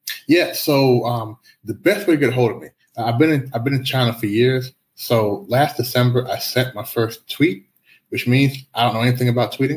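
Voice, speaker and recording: With an American accent, a man talks at a moderate pace in a medium-pitched, somewhat breathy voice that shows ordinary pitch variation. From US. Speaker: life and business coach. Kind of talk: interview.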